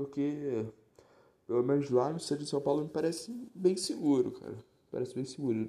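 Somewhat breathy, a man speaks in a fairly high pitch with a dark, mellow tone at a moderate pace. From Rio de Janeiro metro area, Baixada Fluminense (Nova Iguaçu). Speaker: podcast host. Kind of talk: casual monologue. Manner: animated.

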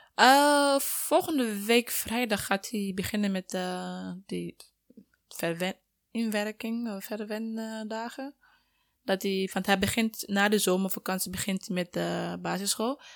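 Speaking at a very slow pace, a woman of medium pitch sounds dry and close with no echo on a very clean recording with a silent background. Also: ordinary pitch variation. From Sierra Leone. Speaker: student and mother. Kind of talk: casual interview.

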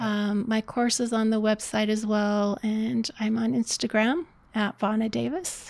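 A woman speaks in an ordinary speaking voice, pitched fairly high, at a moderate pace. Her intonation is fairly even and her loudness stays very even. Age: 60s. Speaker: life coach. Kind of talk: casual interview.

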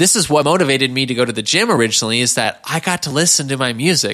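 A man talks in a bright, sharp tone. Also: very clean recording, silent background. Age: 20s. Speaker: life coach podcast host. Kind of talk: solo podcast monologue. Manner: casual, conversational with filler words.

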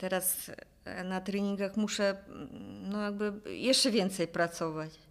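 A woman's medium-pitched voice at a very slow pace, with fairly even intonation and long, frequent pauses. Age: 50s. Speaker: jiu-jitsu athlete. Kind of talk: casual chat. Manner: halting.

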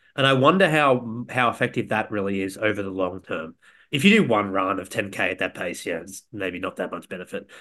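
A man with an Australian accent talks at a fairly quick pace, his fairly low voice carrying a bright, sharp tone. His pitch varies in an ordinary way, and the background is quiet. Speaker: podcast co-host. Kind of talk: casual chat.

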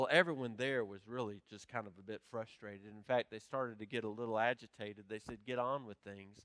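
A man with an ordinary speaking voice talks at a fairly quick pace, pitched in the middle of his range, with hardly any pauses. His volume rises and falls sharply, and the recording is dry and close with no echo. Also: fairly even intonation. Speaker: pastor. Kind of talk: sermon. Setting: church.

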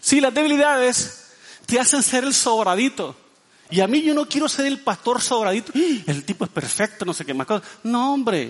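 With an extremely high pitch, a man speaks at a moderate pace. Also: lively intonation. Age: 50s. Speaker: pastor. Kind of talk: sermon.

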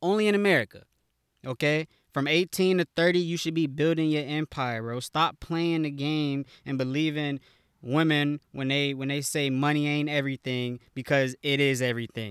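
The recording is very clean, with a silent background and a dry, close sound with no echo. A man speaks at a moderate pace, his pitch fairly high, with ordinary variation. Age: 20s. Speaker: podcast host. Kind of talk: casual monologue.

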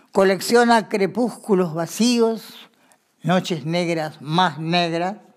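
A woman's fairly low voice at a very slow pace, with ordinary pitch variation. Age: 90s. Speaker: grandmother and amateur writer. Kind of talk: reading aloud of her own writing.

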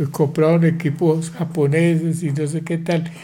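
A man talks at a fairly slow pace in a fairly high voice with a dark, mellow tone and flat, monotone intonation, with audible room echo. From Colombia, Pamplona, Norte de Santander. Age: 80s+. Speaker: grandfather sharing life story. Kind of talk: casual family interview.

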